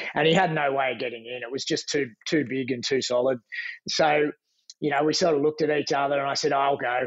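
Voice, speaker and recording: A man talks at a very fast pace with an Australian accent, his intonation fairly even. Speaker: lifeguard. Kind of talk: casual storytelling.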